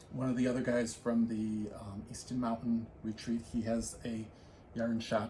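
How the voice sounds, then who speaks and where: Somewhat breathy and dark, mellow in tone, a man speaks at medium pitch with monotone, flat intonation and a fairly slow pace. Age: 60s. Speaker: knitting podcast co-host. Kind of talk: casual chat.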